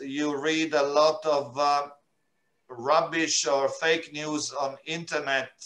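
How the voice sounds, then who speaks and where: Speaking at a very slow pace, a man with a fairly high pitch talks in an Italian accent. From Italy, Milan. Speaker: UN refugee agency representative. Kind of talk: interview. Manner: halting, many filler sounds.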